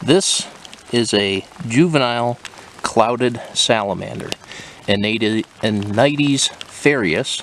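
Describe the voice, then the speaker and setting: Against noticeable background noise, a man speaks at a medium pitch and a very slow pace, with long, frequent pauses. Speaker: herping companion, salamander enthusiast. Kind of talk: casual field chat. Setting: outdoors in forest. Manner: monotone.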